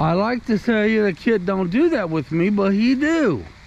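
With very wide pitch swings, a man talks at a high pitch and a fairly slow pace, the sound dry with no echo and light background noise behind him. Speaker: vlogger. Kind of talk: casual vlog chat. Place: open country. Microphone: phone near.

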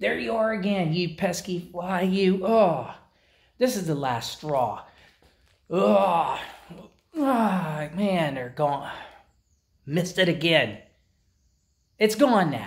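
Against a quiet background, a man speaks at a very slow pace. His pitch is high, and he leaves long, frequent pauses. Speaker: vlogger. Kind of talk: casual vlog chat. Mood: exasperated, comically annoyed. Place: garage. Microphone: phone near.

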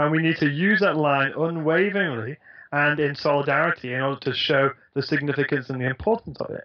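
Against a quiet background, a man with a fairly high pitch speaks at a very fast pace with ordinary pitch variation. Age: 20s. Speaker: guest. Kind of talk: interview. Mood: earnest, thoughtful. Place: home room. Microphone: headset.

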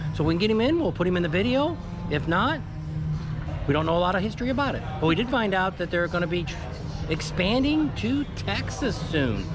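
A man speaks at a fairly quick pace. Music plays clearly in the background. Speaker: travel vlogger. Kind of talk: casual vlog chat. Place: street. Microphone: phone near.

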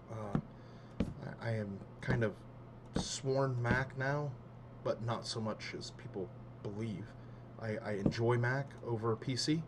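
Through noticeable background noise, a man speaks with fairly even intonation and long, frequent pauses. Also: medium pitch for a man, fairly slow pace. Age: 30s. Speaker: gaming youtuber. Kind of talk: casual gameplay commentary. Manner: halting, many fillers.

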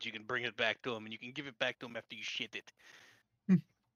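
Growling in a put-on character voice, a man with medium pitch talks at a very fast pace. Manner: menacing, growling.

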